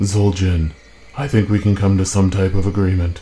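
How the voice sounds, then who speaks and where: At a moderate pace, a man puts on a character voice with a very deep, low pitch. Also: fairly even intonation. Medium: machinima. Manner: grave, measured.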